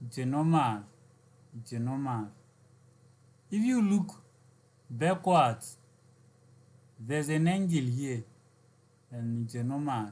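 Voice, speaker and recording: Somewhat breathy and medium in pitch, a man speaks at a fairly slow pace with long, frequent pauses. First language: not English. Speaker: physics tutor. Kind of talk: lecture. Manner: halting.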